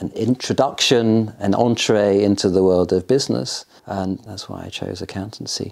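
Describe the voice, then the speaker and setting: A man speaks at a fairly quick pace in an RP accent. His fairly low voice shows ordinary pitch variation. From England. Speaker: son of a war veteran. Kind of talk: interview. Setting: at home in Oxford. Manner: hesitant.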